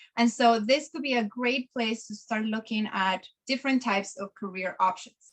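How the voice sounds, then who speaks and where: A woman with a fairly high pitch speaks in a somewhat breathy voice. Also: ordinary pitch variation, moderate pace. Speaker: career webinar presenter. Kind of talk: webinar presentation. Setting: online webinar.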